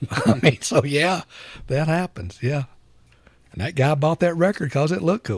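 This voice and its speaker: In an Alabama accent, the speaker uses lively intonation and vocal fry at a moderate pace, with long, frequent pauses and a dry, close sound with no echo. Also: man, fairly high pitch for a man. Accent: Southern US (Alabama). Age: 60s. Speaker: record store owner. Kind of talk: casual chat. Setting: record store.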